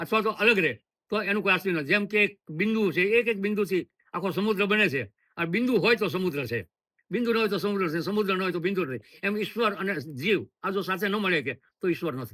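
Bright and sharp in tone, this raised, projected voice carries ordinary pitch variation. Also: man, high pitch for a man. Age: 70s. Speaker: sadhu, former police officer. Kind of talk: interview.

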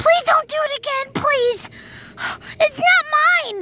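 A cartoonish character voice at an extremely high pitch and a fairly slow pace. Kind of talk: comic puppet sketch. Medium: puppet show. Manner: excited, then frantic and pleading.

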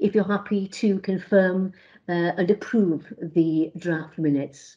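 A woman speaks in a dark, mellow tone with ordinary pitch variation. The background is quiet. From Wales. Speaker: committee chair. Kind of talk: formal committee meeting. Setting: video call. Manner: formal; halting, many fillers. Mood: calm, formal. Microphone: video call.

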